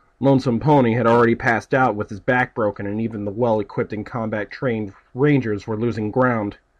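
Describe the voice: Someone is doing plain reading aloud. Their intonation is fairly even.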